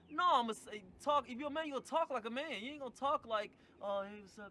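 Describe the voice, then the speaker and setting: A man's raised, projected voice at an extremely high pitch and a very fast pace, with ordinary pitch variation and big swings in loudness. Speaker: podcast guest. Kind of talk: casual chat. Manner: strong, direct.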